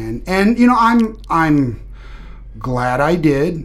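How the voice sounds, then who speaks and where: Speaking at a very slow pace with an American accent, a man is heard with audible room echo. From Kansas, US Midwest. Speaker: navy veteran, homelessness advocate. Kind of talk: interview. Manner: halting, many fillers and repetitions.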